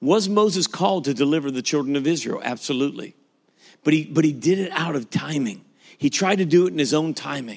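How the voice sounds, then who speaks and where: A man speaks very fast in a fairly high voice, his intonation lively. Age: 50s. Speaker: pastor. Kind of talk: sermon.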